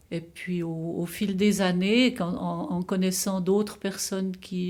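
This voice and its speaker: A woman's very slow, fairly low-pitched voice with a dark, mellow tone and fairly even intonation. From Gruyère, Switzerland. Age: 80s+. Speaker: zither player. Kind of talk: interview answer. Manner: nostalgic.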